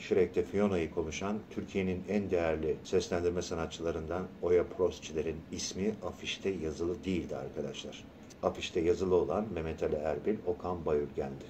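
A man speaks with a very deep, low pitch and a dark, mellow, somewhat breathy tone. He keeps a moderate pace with hardly any pauses. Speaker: voice actor. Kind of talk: radio interview. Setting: radio studio. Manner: animated.

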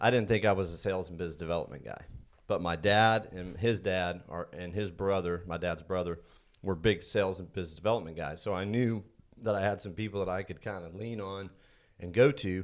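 The recording is very clean with a silent background, and a man speaks at a fairly quick pace in a very deep, low pitch. His intonation is fairly even, but his loudness swings widely. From Indiana. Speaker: energy consultant, business owner. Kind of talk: casual interview. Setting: studio.

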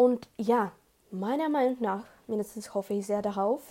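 A woman with a non-native accent speaks in a dark, mellow tone with fairly even intonation. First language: not German (speaking German). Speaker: podcast host. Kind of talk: solo podcast monologue. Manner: halting.

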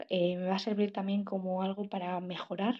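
A woman's somewhat breathy, medium-pitched voice, fairly quick in pace, with fairly even intonation. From Spain, La Rioja. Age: 18. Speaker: journalism student podcaster. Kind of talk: personal monologue podcast.

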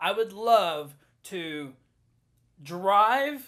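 A man with a Southern US accent speaks in a high pitch for a man. His intonation is lively, and the recording is very clean with a silent background. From US South. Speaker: podcast co-host. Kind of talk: casual chat.

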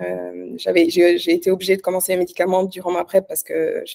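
The sound is close and dry, with no echo. A woman talks at a medium speed. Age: 30s. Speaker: online fitness coach and bikini athlete. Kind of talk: casual interview.

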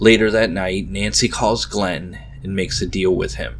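A man's dramatic delivery at a moderate pace, with noticeable background noise. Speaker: podcast host. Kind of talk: horror story narration. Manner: dramatic, suspenseful storyteller.

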